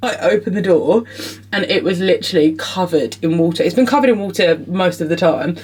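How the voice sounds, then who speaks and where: Very fast speech in an English accent with lively intonation, over noticeable background noise. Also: woman, medium pitch for a woman. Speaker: vlogger. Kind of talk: casual vlog to camera. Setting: outdoors by a lake.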